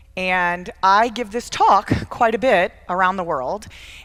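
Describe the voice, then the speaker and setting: In a very clean recording with a silent background, a woman talks with ordinary pitch variation. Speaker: retired Alzheimer's drug development scientist, speaker. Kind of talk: public talk. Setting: church event hall, miked, live-streamed. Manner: loud.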